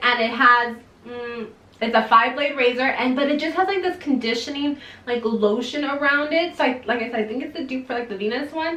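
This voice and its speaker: A woman's raised, projected voice, high in pitch with ordinary variation, at a fairly quick pace amid noticeable background noise and audible room echo. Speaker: beauty vlogger. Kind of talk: casual product review vlog. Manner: fast.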